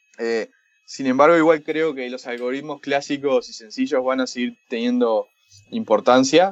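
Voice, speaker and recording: The pace is moderate and the pitch varies in an ordinary way. The speaker has a Uruguayan accent. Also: man. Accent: Rioplatense Spanish (Uruguayan). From Uruguay, Montevideo. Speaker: startup founder, machine learning entrepreneur. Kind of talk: interview.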